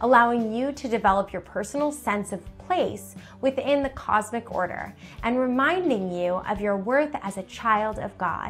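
With faint music in the background, a woman talks at a moderate pace. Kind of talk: informational presentation. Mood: warm, smiling. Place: home room.

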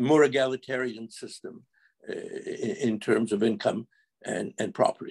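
A quiet background behind a male voice. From Quebec. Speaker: lawyer. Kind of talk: panel discussion. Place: home room. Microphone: video call.

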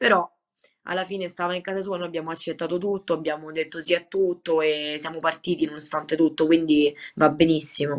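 A woman with a fairly low pitch speaks at a fairly quick pace in a monotone, flat intonation. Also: quiet background. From Rome, Italy; Italy. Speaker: Muay Thai fighter; guest. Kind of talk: interview. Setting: video call. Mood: calm, grateful. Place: home room. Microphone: video call.

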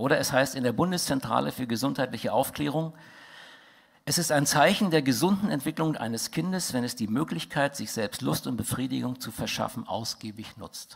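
A man speaks at a moderate pace with vocal fry. The background is quiet. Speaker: conference speaker. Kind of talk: lecture. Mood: indignant, critical. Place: hall. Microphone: headset.

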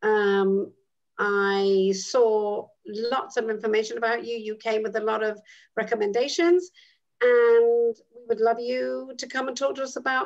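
In a British accent, a woman with a fairly high pitch and ordinary pitch variation speaks at a fairly slow pace over a quiet background. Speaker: midwife, actress and educator; dean of student life. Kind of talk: interview answer. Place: home room. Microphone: video call.

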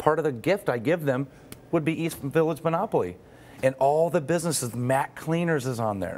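A man with lively intonation at a fairly quick pace. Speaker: guest. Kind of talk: interview answer. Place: studio. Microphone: lapel.

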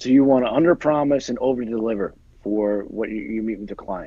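A man with an American accent talks at a fairly quick pace with ordinary pitch variation. The background is quiet and the sound dry with no echo. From New Jersey. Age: 40s. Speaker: NFL agent and actor; actor. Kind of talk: casual chat. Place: home room. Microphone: earbuds.

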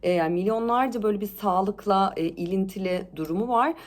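Her medium-pitched voice has an animated tone. The woman speaks at a moderate pace. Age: 30s. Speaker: lifestyle vlogger. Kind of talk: casual vlog monologue. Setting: at home.

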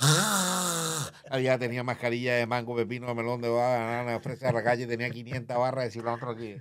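This man talks at a moderate pace with fairly even intonation and hardly any pauses. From Colombia, Barranquilla (Caribbean coast); Colombia. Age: 60s. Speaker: comedian and former media personality; comedian. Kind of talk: interview, life story. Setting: studio. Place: studio. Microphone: studio mic.

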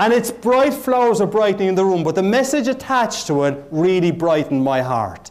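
At a fairly quick pace with hardly any pauses, a man with a high pitch swings very widely in tone. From Ireland. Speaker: motivational keynote speaker. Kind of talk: motivational keynote speech. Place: hall.

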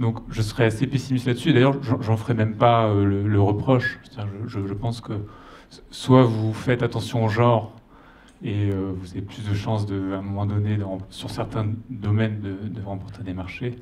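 A man with an ordinary speaking voice talks at a fairly slow pace in a fairly low pitch with fairly even intonation, over light background noise. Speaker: audience member. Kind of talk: audience question. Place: hall. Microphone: handheld.

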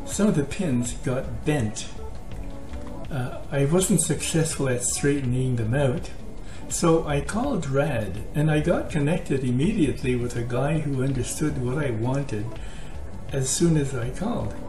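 A man speaks at a fairly slow pace. Music plays clearly in the background. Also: ordinary pitch variation. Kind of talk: casual tutorial talk. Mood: calm, friendly advice. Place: kitchen. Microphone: webcam.

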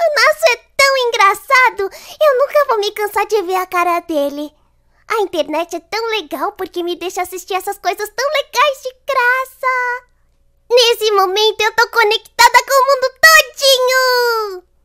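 Against a quiet background, a woman speaks in a raised, projected voice with a bright, sharp tone and lively intonation. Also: fairly slow pace. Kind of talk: acted dubbing of anime dialogue. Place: home room. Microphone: studio mic.

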